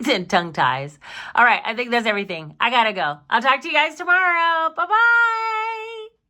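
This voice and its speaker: A woman projects her raised voice at a high pitch with a bright, sharp tone. Her pitch swings very widely at a moderate pace. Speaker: budgeting YouTuber and small shop owner. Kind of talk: casual chat. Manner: halting, stuttering.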